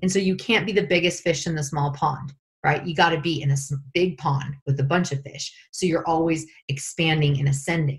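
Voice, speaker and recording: With an American accent, a woman talks at a fairly quick pace in a very deep, low pitch and a somewhat breathy voice. Her tone is animated over a quiet background. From Northern California. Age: 40s. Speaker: life coach. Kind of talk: guided meditation; interview. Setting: call. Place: home room. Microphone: video call.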